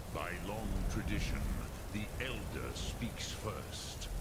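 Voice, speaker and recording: A man speaks very slowly in a put-on character voice over loud background noise. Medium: game stream. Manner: slow, measured, archaic, mixing dragon-tongue words.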